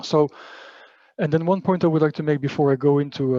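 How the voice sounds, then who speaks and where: Speaking at a very fast pace, the man has a dark, mellow tone and fairly even intonation. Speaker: panelist from an EU agency. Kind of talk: webinar presentation. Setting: online webinar with interpreters. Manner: halting, many fillers.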